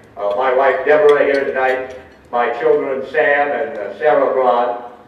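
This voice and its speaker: Speaking at a moderate pace with a fairly high pitch, a man is heard amid noticeable background noise and audible room echo. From northern Kentucky, near Cincinnati. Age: 60s. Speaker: radio broadcaster. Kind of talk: acceptance speech. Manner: hesitant, with frequent filler words.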